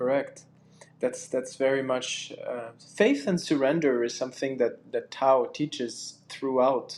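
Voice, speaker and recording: This man has a French accent and a medium-pitched voice. He talks at a fairly slow pace with ordinary pitch variation. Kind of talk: casual chat. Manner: halting.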